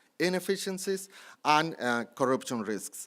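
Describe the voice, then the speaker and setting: A man with a Colombian accent speaks at a fairly slow pace, fairly high in pitch with lively intonation, in a very clean recording with a silent background. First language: Spanish. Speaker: city anti-corruption official. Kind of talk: conference panel presentation. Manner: halting.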